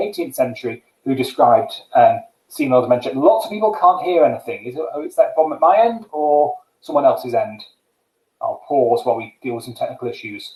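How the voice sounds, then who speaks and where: A man is talking. He goes at a very fast pace. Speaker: geriatric medicine doctor. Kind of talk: lecture. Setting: live webinar.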